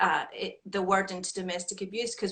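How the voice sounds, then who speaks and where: In a Scottish accent, a woman with a medium pitch speaks at a moderate pace. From Scotland. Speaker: women's shelter executive director. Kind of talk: interview.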